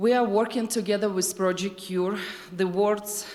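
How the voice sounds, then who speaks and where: With a Ukrainian accent, a woman speaks at a moderate pace in a monotone, flat intonation while noticeable background noise runs underneath. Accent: Ukrainian accent, non-native English. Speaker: nonprofit leader. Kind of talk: presentation.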